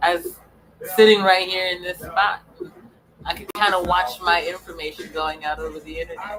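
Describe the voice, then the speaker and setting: An animated woman at medium pitch with an American accent, at a moderate pace with long, frequent pauses, big swings in loudness and noticeable background noise. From US South (Memphis, Tennessee). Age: 40s. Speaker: live streamer. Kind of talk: live stream monologue.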